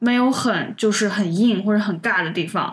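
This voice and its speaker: Through noticeable background noise and audible room echo, a woman speaks at a fairly high pitch with a northwestern Chinese accent. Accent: Northwest Chinese. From Northwest China. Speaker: podcast co-host. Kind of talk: casual chat.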